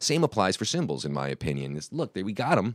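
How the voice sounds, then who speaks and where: A man's very deep, low pitch with vocal fry. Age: 30s. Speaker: inventor of a drum accessory. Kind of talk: casual interview. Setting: studio. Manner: hesitant, many fillers.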